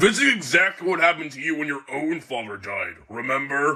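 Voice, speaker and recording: Putting on a character voice, a man talks fairly quickly at a fairly high pitch, his intonation lively and his loudness swinging widely. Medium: machinima. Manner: dry, formal.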